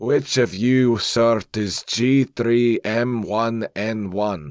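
A man's put-on character voice at medium pitch, dry and close with no echo. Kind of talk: rough, gruff.

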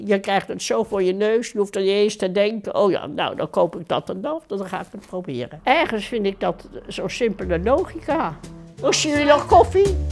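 A woman speaks at a moderate pace with very wide pitch swings and big swings in loudness. Faint music plays in the background. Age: 80s+. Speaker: voter. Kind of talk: interview answer. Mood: warm, hospitable, opinionated. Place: home room.

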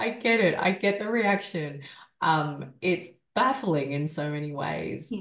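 With lively intonation, a woman speaks at a fairly low pitch over a quiet background with audible room echo. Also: fairly slow pace. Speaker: survivor coach and author. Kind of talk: interview. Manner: soft-spoken. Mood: reflective, candid. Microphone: video call.

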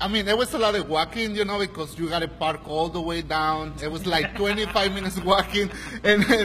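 Over light background noise, a man speaks at a fairly quick pace in a raised, projected voice. His pitch varies in an ordinary way. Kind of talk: interview answer. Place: cafe. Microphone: handheld.

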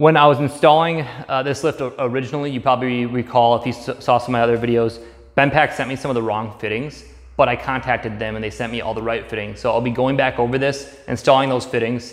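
A man speaks at a very fast pace with fairly even intonation. The background is quiet. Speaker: DIY garage vlogger. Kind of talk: tutorial. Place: garage. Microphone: camera far.

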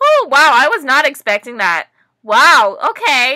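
Against a quiet background, a woman speaks in a bright, sharp tone with very wide pitch swings. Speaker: vlogger. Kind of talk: reaction video chat. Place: home room. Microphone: webcam.

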